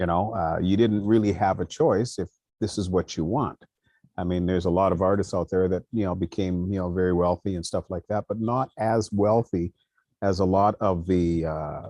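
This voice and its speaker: A man with a dark, mellow tone speaks at a very deep, low pitch, with fairly even intonation and a moderate pace. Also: dry, close sound with no echo. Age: 70s. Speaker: musician and vocalist. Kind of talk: panel discussion.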